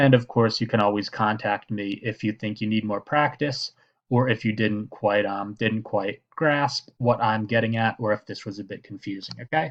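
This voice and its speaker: In an unremarkable speaking voice, a man talks at a moderate pace in a fairly low pitch with fairly even intonation and hardly any pauses. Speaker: math teacher. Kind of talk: tutorial.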